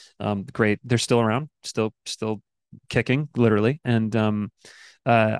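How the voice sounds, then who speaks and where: A man with an American accent talks at a medium pitch with fairly even intonation, in an unremarkable speaking voice. The sound is dry and close, with no echo. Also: quiet background. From Michigan. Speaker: actor. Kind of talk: casual chat. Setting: video call.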